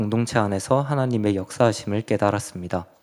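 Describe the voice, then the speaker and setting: A man with a fairly low voice talks at a moderate pace. The recording is very clean, with a silent background. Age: 20s. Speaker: church youth member giving mission report. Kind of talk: testimony. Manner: reading from prepared text.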